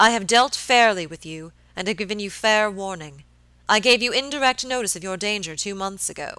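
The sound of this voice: Simply an unforced reading voice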